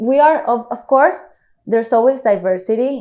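A woman speaks with a Spanish accent and a dark, mellow tone. Her pitch varies in an ordinary way. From Colombia, Cartagena. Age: 30s. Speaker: swimwear designer. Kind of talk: interview.

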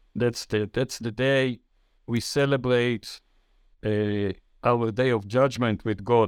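The speaker has an Israeli accent. The recording is very clean with a silent background and a dry, close sound without echo. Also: man. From Israel, Jerusalem. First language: Hebrew. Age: 70s. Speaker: author and retired banker. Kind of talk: interview. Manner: halting.

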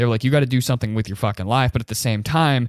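A man speaks in a normal speaking voice at a medium pitch with ordinary pitch variation. The sound is dry and close, with no echo. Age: young. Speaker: YouTuber and young entrepreneur. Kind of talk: personal storytelling monologue. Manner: casual, profanity-laden.

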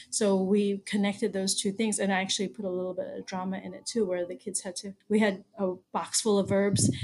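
Using a normal speaking voice, a woman with an American accent talks at a fairly quick pace and medium pitch, with fairly even intonation and hardly any pauses. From US, Baltimore, Maryland. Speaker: arts education consultant and teaching artist. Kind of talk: interview conversation.

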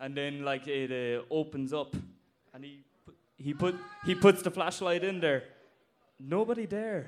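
A man with a Cork accent talks at a fairly slow pace in a fairly high pitch, with ordinary pitch variation. His speech has long, frequent pauses and big swings in loudness. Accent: Cork Irish. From Ireland, Cork (Blarney). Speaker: audience member telling a story. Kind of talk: story told at a live show. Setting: stage with audience.

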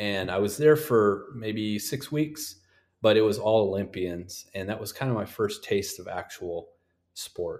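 A man with an American accent and an ordinary speaking voice, fairly low in pitch, at a moderate pace with fairly even intonation, on a very clean recording with a silent background. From North Dakota, US. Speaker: sports physical therapist. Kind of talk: podcast interview.

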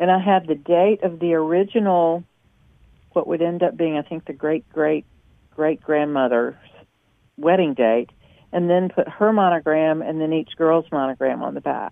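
The speaker has a Southern US accent. Long, frequent pauses break up the speech. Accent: Southern drawl. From US South, the Carolinas. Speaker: embroidery designer. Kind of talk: casual chat.

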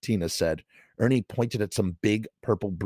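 Someone reads aloud plainly, pitch shifting a normal amount, against a hushed background.

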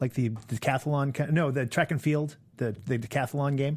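Somewhat breathy male speech, fairly high-pitched and fairly quick, in a very clean recording with a silent background. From Maine. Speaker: film journalist. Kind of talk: casual chat.

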